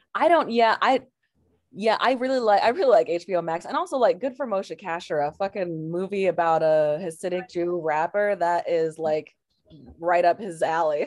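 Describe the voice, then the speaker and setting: With an American accent and lively intonation, a woman speaks at a moderate pace and fairly low pitch in a normal speaking voice. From Portland, Oregon. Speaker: comedian. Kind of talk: casual chat.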